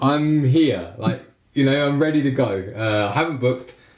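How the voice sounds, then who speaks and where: Audible room echo surrounds a man speaking at a medium pitch. His pace is fairly slow, and his pitch varies in an ordinary way. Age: 40s. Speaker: podcast host and ski school owner. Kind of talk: casual chat. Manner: animated.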